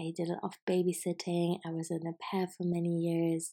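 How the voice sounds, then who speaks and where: A woman's fairly low, dark and mellow voice with a German accent, flat monotone intonation, and a very clean recording with a silent background. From Germany, Hamburg. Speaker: podcast host, creative business mentor. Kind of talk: casual solo monologue.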